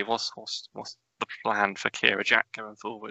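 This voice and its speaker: This is a man speaking in a Norfolk accent. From Norfolk, England. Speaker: podcast host. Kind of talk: casual interview chat.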